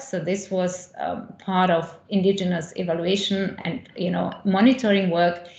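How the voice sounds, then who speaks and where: Audible room echo carries a woman's medium-pitched voice as she speaks at a fairly slow pace. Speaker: associate professor in higher education. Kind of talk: conference talk. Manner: halting, many fillers and repetitions.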